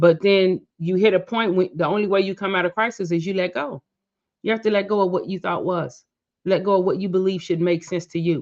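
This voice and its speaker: A woman with an unremarkable speaking voice talks fairly quickly at medium pitch. Her intonation stays fairly even. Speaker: motivational speaker and podcast host. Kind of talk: reflective podcast monologue. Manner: casual, conversational.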